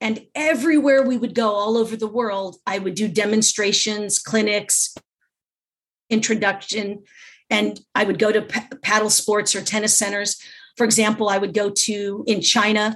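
This woman has a Californian accent and a fairly high voice. She speaks at a moderate pace with fairly even intonation. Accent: Californian American. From US West Coast, Los Angeles. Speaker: pickleball instructor and champion. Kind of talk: interview.

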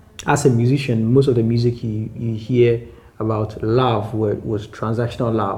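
Audible room echo surrounds a man speaking at medium pitch and a moderate pace, his intonation monotone and flat. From Ghana (Accra). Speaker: rapper. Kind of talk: interview. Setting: at home.

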